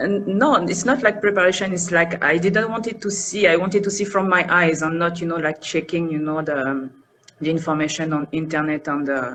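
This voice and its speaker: Over noticeable background noise, a woman with a French accent speaks fairly quickly in a fairly low pitch with ordinary pitch variation. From France, north of Paris. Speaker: interview guest, expat. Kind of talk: interview. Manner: soft pronunciation; hesitant, many fillers.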